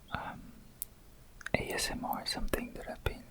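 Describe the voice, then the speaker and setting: A man whispers over noticeable background noise. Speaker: ASMR creator. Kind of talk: whispered ASMR unboxing. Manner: soft-spoken, whispering.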